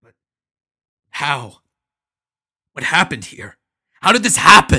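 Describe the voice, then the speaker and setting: A put-on character voice, growling and raspy, low-to-middle in pitch with very wide pitch swings, at a moderate pace. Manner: growling, halting, confused.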